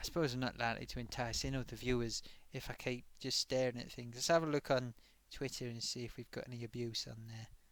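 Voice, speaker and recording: A man talks at a very fast pace in a medium pitch with monotone, flat intonation. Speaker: live stream host. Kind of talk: casual live stream chat.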